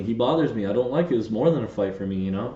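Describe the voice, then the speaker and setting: A man's somewhat breathy, fairly low voice, animated in tone, with lively intonation and audible room echo. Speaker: podcast co-host. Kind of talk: casual chat.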